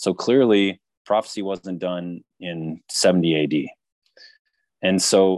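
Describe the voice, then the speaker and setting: An ordinary speaking voice with ordinary pitch variation and a dry, close sound with no echo. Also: man. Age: 40s. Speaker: author and researcher. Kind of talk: interview.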